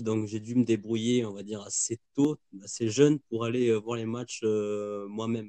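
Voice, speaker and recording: The man's dark, mellow voice sits at medium pitch, with monotone, flat intonation, a moderate pace, big swings in loudness, and a dry, close sound with no echo. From southern France, Carcassonne. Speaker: art student and football supporter. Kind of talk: casual interview.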